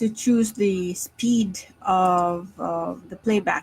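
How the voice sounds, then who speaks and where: Female speech, pitch varying in an ordinary way. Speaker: stock market analyst. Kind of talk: live stream market analysis. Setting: live stream. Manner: slow.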